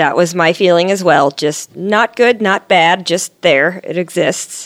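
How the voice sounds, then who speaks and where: A woman talks at a very slow pace. Her voice sits fairly low and shows ordinary pitch variation. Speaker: podcast co-host. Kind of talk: casual podcast chat.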